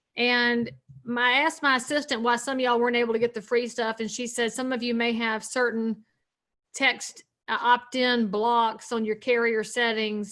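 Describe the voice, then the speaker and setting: Speaking with a Southern US accent, a woman uses a fairly high pitch. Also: quiet background. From North Carolina. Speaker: realtor and speaker. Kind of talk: seminar talk. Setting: video call. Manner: animated.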